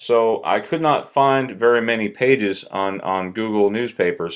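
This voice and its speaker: A man speaks in a Southern US accent with lively intonation. The background is quiet. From US South. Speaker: YouTuber. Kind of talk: casual video commentary. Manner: halting, many fillers. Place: home room. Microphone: webcam.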